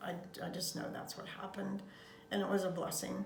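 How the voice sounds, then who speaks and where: A woman with an American accent, amid audible room echo and noticeable background noise. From Colorado, Denver. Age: 80s+. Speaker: grandmother interviewed about her life. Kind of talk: life story interview. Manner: halting, frequent fillers.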